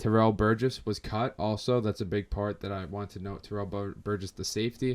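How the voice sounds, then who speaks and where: Fairly quick delivery from a man, pitched fairly low. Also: hardly any pauses. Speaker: sports podcast host. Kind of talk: casual podcast commentary. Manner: fast; animated.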